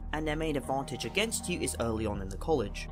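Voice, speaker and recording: Very fast speech from a man over music in the background. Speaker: video game analysis youtuber. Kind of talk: video essay narration.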